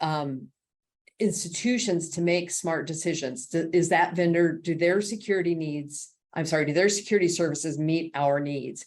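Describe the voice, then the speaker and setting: An unremarkable speaking voice with ordinary pitch variation. The pace is moderate. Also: woman, fairly low pitch for a woman. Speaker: executive director of a cybersecurity nonprofit. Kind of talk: presentation.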